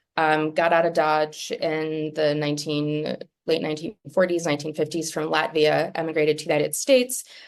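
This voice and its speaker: A woman with a very deep, low pitch speaks with a Midwestern accent. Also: fairly quick pace, hardly any pauses. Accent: Midwestern twang. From US Midwest, Minneapolis-Saint Paul, Minnesota. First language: Latvian. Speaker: literary translator. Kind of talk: talk. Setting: office. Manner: many fillers (um, uh).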